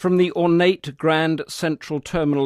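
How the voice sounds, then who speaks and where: A man with an English accent speaks at a moderate pace. His intonation is fairly even. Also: dry, close sound with no echo. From England. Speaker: foreign correspondent. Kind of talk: scripted narration.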